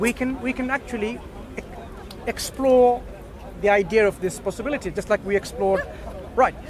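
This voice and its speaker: Crowd noise fills the background as a man with a non-native accent talks at a fairly quick pace in an extremely high pitch. His intonation is fairly even, broken by long, frequent pauses. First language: not English. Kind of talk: street dawah discussion.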